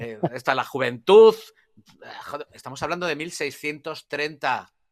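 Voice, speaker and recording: Speaking at a fairly slow pace, a man with a fairly high pitch shows ordinary pitch variation and big swings in loudness. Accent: Spanish. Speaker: journalist and history expert. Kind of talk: live conversational history discussion. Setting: live online audio broadcast. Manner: halting, many repetitions and fillers.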